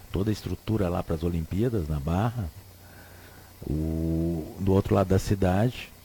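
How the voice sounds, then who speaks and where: This man talks at a fairly slow pace with a very deep, low pitch and ordinary pitch variation. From Rio Grande do Sul, southern Brazil. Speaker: radio host. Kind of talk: radio talk show commentary. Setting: radio studio. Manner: casual, hesitant with repetitions.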